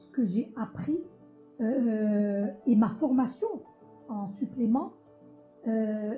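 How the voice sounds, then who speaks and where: Music plays in the background. The speech goes at a very slow pace. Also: woman. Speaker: singer of Arabo-Andalusian music. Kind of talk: interview answer.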